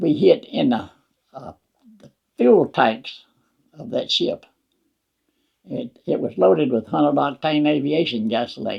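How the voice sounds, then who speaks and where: A man with a Southern US accent, fairly high in pitch with vocal fry, fairly slow with long, frequent pauses, very wide pitch swings and big swings in loudness. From Wetumpka, Alabama. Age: 80s+. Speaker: war veteran. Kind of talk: interview answer.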